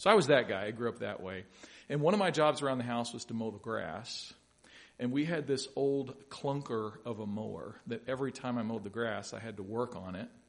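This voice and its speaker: A normal speaking voice from a man with an American accent, medium pitch, ordinary pitch variation, a fairly quick pace and big swings in loudness. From US South, Louisville, Kentucky. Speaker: pastor. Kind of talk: sermon. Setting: church.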